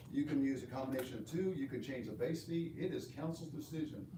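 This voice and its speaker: A man's fairly high voice comes at a moderate pace, with audible room echo and noticeable background noise around it. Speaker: city manager. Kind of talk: council workshop presentation. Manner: loud.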